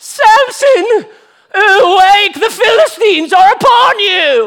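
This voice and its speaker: A woman puts on a character voice in a British accent. The pitch is extremely high and the pace fairly slow. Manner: dramatic, alarming.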